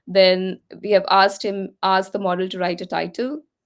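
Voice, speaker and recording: A woman speaks at medium pitch and a moderate pace. The recording is very clean, its background silent. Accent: Indian. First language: Hindi. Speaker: tech speaker. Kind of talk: tutorial.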